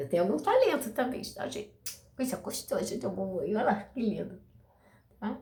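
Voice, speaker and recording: With an unremarkable speaking voice, a woman talks at a fairly quick pace in a fairly high pitch. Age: 60s. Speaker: video blogger sharing spiritual experiences. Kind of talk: personal testimony to camera. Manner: casual, chatty.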